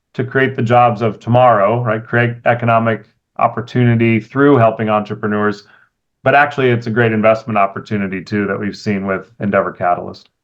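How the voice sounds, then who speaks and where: A man with an American accent talks at a medium pitch and a fairly quick pace. It is a normal speaking voice. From California. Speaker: venture capitalist. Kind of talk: interview.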